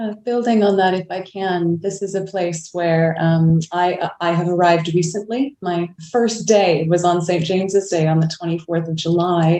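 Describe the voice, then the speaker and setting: Speaking at a moderate pace with hardly any pauses, a woman has a Canadian accent. Her tone is dark and mellow, her pitch fairly low and her intonation fairly even. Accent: Canadian, noticeable. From Canada, Vancouver. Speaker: clergy. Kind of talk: panel discussion. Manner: reflective, halting.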